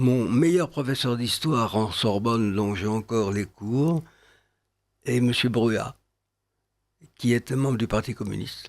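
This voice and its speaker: Very slow speech from a man at medium pitch, ordinary pitch variation, very clean recording with a silent background. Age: 80s+. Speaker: writer and essayist. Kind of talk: radio interview.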